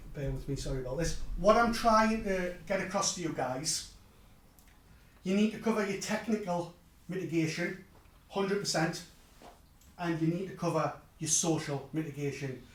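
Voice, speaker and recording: In a Geordie accent, a high-pitched man talks at a moderate pace with ordinary pitch variation and long, frequent pauses. Room echo is audible. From northeast England (Newcastle). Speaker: technology speaker. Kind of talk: conference talk.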